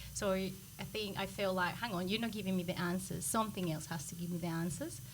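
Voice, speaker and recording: With audible room echo, a woman with a Colombian accent speaks at a medium pitch with ordinary variation and vocal fry. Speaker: microbiologist. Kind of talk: podcast interview.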